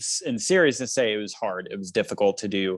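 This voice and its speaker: In a normal speaking voice, a man talks at a fairly quick pace with lively intonation against a quiet background. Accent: American. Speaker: musician and political candidate. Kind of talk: panel interview.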